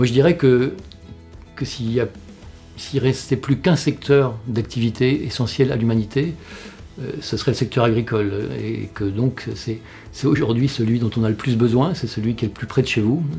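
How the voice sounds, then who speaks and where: Speaking at a moderate pace with long, frequent pauses, a man uses a medium pitch and ordinary pitch variation. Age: 60s. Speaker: employment researcher and director. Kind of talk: interview. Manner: halting, many fillers.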